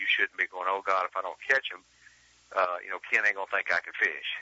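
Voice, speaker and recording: The speaker is a man. He has an Alabama accent. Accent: Southern US (Alabama). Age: 40s. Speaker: professional bass angler. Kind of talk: interview.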